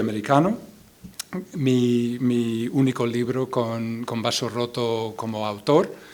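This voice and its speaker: Speech in an English accent moves at a very slow pace. Audible room echo and noticeable background noise come through. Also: man. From US Midwest, Iowa. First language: English (speaking Spanish). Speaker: poet and translator. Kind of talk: poetry reading with spoken introduction. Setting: stage with audience at a book fair. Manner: halting, repeats words.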